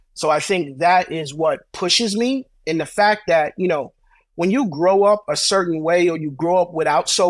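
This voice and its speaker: Speaking at a moderate pace with a New York accent, a man with a high voice uses ordinary pitch variation on a very clean recording with a silent background. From Brooklyn, New York. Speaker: credit repair business owner. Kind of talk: interview.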